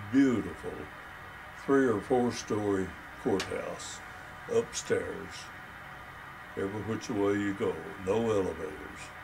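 Through noticeable background noise, a man with a West Texas accent speaks very slowly at a fairly low pitch with fairly even intonation. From Texas, Crosbyton. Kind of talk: interview answer. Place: home room.

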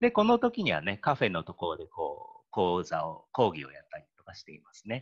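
A man talks fairly quickly while the background stays quiet. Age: 40s. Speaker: care home manager. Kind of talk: presentation. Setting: online video call. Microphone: video call.

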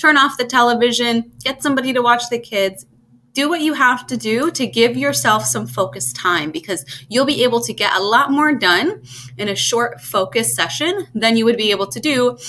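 The voice has a bright, sharp tone, lively intonation and vocal fry. Light background noise sits underneath. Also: woman, moderate pace. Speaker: test prep tutor. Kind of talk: tutorial. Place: home room. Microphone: webcam.

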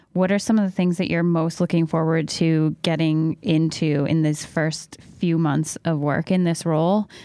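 A normal speaking voice talks at a fairly slow pace. The recording is very clean, with a silent background. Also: woman. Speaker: podcast interviewer. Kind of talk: interview conversation.

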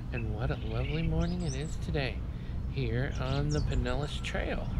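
Loud background noise sits behind a woman's voice. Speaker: vlogger. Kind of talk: casual vlog chat. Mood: cheerful, relaxed. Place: open country. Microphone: phone near.

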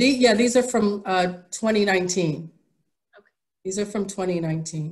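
A woman with an American accent speaks at a fairly slow pace with long, frequent pauses and ordinary pitch variation. Her voice is somewhat breathy against a quiet background. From New York City. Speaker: artist. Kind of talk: presentation. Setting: video call from her studio. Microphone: video call.

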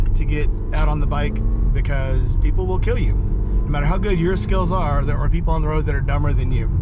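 There is music in the background as a man talks at a very fast pace. The sound is dry, with no echo. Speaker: motorcycle vlogger. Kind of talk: casual vlog chat. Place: car.

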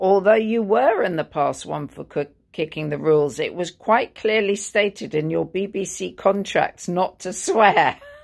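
Against a quiet background, the voice goes at a fairly slow pace with ordinary pitch variation. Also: woman. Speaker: interviewer. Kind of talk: interview. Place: home room.

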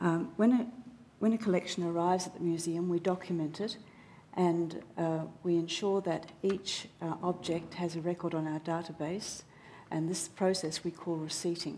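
Against light background noise, a woman with an Australian accent speaks in a dark, mellow tone at a fairly low pitch with fairly even intonation. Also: moderate pace. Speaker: museum registration staff. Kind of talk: public talk. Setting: stage with audience. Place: hall. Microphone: headset.

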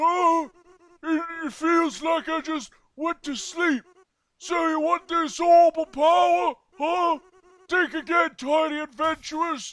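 A man uses a put-on character voice at an extremely high pitch. He speaks at a fairly slow pace. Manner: arrogant, boastful.

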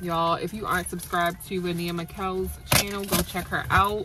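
A woman at a moderate pace, dry sound with no echo, and loud background noise. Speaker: beauty vlogger. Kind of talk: casual vlog chat. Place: car. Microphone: phone near.

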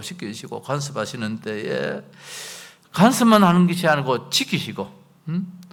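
With very wide swings in pitch, a man talks at a fairly slow pace. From South Korea, Gyeongbuk (Chilgok). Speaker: pastor. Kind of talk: sermon.

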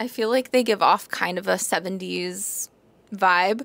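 A woman speaks with fairly even intonation in a dry sound with no echo. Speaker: vlogger. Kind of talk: casual vlog chat. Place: home room. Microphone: lapel.

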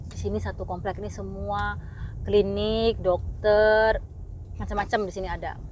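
A woman speaks at a moderate pace, and the room's echo can be heard. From Indonesia. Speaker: vlogger and parent. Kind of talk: casual vlog talk.

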